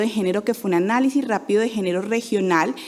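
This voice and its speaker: Amid noticeable background noise, a woman speaks at a fairly quick pace with ordinary pitch variation. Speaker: NGO program manager. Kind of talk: conference talk. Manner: fast.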